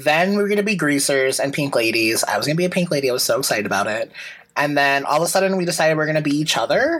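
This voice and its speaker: Against noticeable background noise, a man talks very fast at a fairly high pitch with very even loudness. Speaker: podcast co-host. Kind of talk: casual chat.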